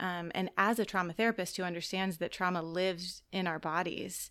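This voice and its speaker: On a very clean recording with a silent background, a woman with a plain, everyday voice speaks at a moderate pace in a fairly low pitch. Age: 30s. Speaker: church soul care director and mental health counselor. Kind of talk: casual chat. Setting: studio.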